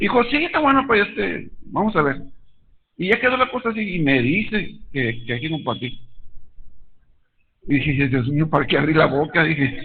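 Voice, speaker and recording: In a room with audible echo, a man talks at a moderate pace with a fairly high pitch and very wide pitch swings, leaving long, frequent pauses. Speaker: lay preacher. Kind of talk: sermon. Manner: halting.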